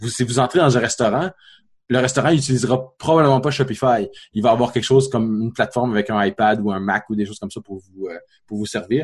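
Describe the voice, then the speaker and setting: In a Quebec accent, a man talks at a very fast pace in a somewhat breathy voice. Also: medium pitch for a man, ordinary pitch variation. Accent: Québécois. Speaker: app developer and podcast co-host. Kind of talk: casual chat.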